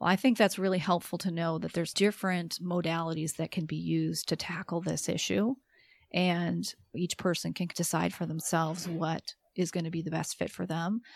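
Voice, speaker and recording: The recording is very clean, with a silent background. A woman with a fairly low pitch speaks at a moderate pace in an unremarkable speaking voice, her intonation fairly even. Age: 40s. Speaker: podcast host and psychologist. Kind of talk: interview.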